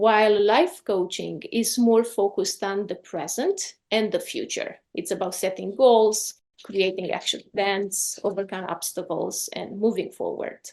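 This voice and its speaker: Over a quiet background, someone with a Romanian accent speaks at a fairly slow pace with hardly any pauses. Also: woman. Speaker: life coach. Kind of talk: podcast interview.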